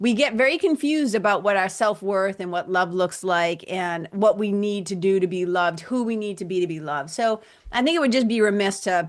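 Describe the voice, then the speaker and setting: With a Boston accent, a woman talks at a fairly quick pace with lively intonation and hardly any pauses. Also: medium pitch for a woman. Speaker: spiritual coach and yoga teacher. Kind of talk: podcast interview conversation. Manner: animated.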